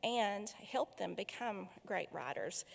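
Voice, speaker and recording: At a fairly slow pace, a woman speaks with an Appalachian accent. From Appalachia, southwest Virginia. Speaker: foundation director hosting a literary event. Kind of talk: welcome speech and author introduction. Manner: frequent filler hesitations.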